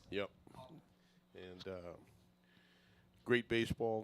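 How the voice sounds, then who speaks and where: A man talks with an American accent at a fairly slow pace. His intonation stays fairly even. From New York. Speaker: guest commentator, youth baseball coach. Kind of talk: casual chat.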